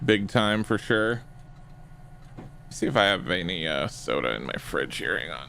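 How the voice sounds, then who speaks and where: A man's very deep voice with vocal fry, a relaxed yet bright, sharp tone, very wide pitch swings, a moderate pace and long, frequent pauses. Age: 40s. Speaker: streamer playing police roleplay game. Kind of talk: live gaming stream chat. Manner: casual, relaxed.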